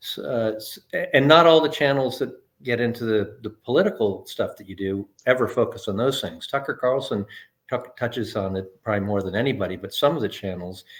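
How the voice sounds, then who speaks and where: A man with a normal speaking voice talks at a medium pitch and a fairly quick pace, with lively intonation and big swings in loudness. The recording is very clean, the background silent. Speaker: interviewer. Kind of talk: casual interview talk.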